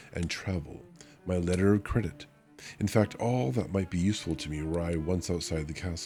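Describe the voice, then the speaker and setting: A man talks in a very deep, low pitch with ordinary pitch variation. Music plays in the background. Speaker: vtuber. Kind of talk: audiobook reading.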